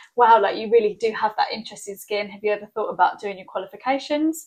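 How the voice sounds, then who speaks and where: The speaker has a southern English accent. The intonation stays fairly even. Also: woman. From southern England. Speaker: skincare clinic owner. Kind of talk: interview. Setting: in her clinic.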